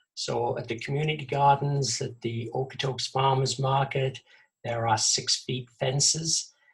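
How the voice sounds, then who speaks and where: A somewhat breathy man's voice of medium pitch, with an English accent, at a fairly slow pace. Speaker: vegetable gardening presenter. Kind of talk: webinar presentation. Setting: video call. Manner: halting, many fillers.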